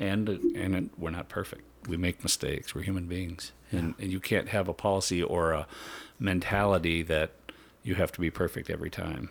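Very deep and low, a man's voice moves at a fairly quick pace with fairly even intonation. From central Minnesota. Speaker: senior patrol police officer. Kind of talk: casual interview.

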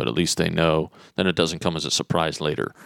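A man with an American accent speaks in a very deep, low pitch with vocal fry. The recording is very clean with a silent background and a dry, close sound with no echo. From Netherlands and US, mostly US. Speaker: lighting designer. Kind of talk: interview. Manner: halting.

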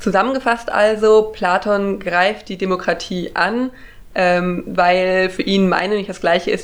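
The delivery has fairly even intonation. It moves at a moderate pace. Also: woman. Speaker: podcast host. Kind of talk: casual chat explaining philosophy.

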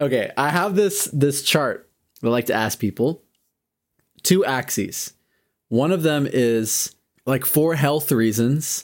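Long, frequent pauses break up very slow speech with ordinary pitch variation, in a very clean recording against a silent background. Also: man, fairly high pitch for a man. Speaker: podcast host. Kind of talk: casual chat.

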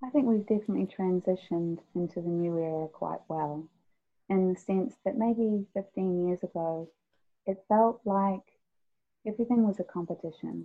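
Her New Zealand accent comes through as a woman speaks at medium pitch and moderate pace, with ordinary pitch variation. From New Zealand (immigrated as a child). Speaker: singer-songwriter. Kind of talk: interview. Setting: remote call.

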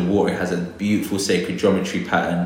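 With a London accent, a man speaks in a very deep, low pitch amid audible room echo. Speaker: botanist. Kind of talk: interview.

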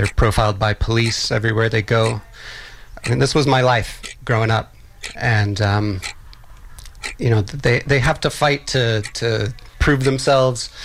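A man with an American accent speaks at a medium pitch and a moderate pace, with ordinary pitch variation, very even loudness, and long, frequent pauses. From Texas, Austin. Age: 40s. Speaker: filmmaker. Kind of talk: interview. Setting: radio studio.

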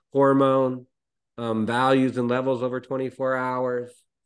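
Here is a normal speaking voice moving at a moderate pace. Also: man. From Canada. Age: 40s. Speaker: physician. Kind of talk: interview.

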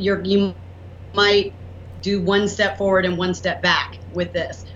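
A woman with a Southern US accent speaks at a moderate pace. Her voice carries audible room echo along with noticeable background noise. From US South. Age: 40s. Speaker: entrepreneur and inventor. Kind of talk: interview.

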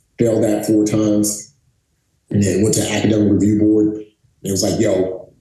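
Here a man talks in a dark, mellow tone. There is a somewhat breathy quality to it. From Bronx, New York City. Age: 40s. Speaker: former Navy SEAL. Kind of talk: interview. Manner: animated.

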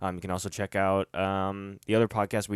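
In a very clean recording with a silent background and a dry, close sound with no echo, a man talks at a moderate pace in a fairly low pitch, an unremarkable speaking voice. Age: 30s. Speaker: podcast host. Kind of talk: casual chat.

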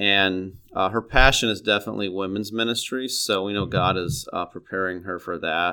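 Speaking with a Midwestern American accent at a moderate pace, the voice has a bright, sharp tone and fairly even intonation in a very clean recording with a silent background. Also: man, fairly low pitch for a man. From East Central Illinois, US Midwest. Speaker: middle school Bible teacher, former pastor. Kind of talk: interview. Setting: studio.

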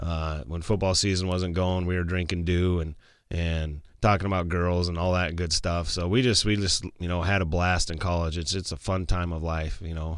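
Very deep, low male voice with an Upper Midwest accent and fairly even intonation. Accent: Upper Midwest American. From South Dakota, West River (Martin, Sturgis). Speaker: high school football coach. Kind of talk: casual interview. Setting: studio.

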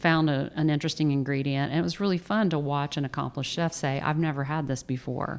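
A woman with a Southern US accent speaks at a very fast pace with hardly any pauses, her very deep, low pitch carrying ordinary pitch variation and very even loudness, on a very clean recording with a silent background. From Atlanta area, Georgia (near Tucker). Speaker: food photographer. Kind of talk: interview. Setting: her studio.

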